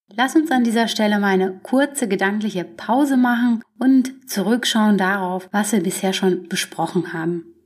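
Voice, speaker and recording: A somewhat breathy woman's voice of medium pitch, ordinary pitch variation, moderate pace and hardly any pauses. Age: 30s. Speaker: podcast host. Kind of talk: solo self-help monologue.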